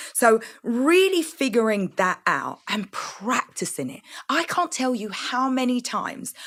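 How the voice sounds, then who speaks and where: Vocal fry runs through an animated voice with very wide pitch swings, on a very clean recording with a silent background. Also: woman. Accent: London. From East London, England. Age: 40s. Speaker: entrepreneur. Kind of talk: interview.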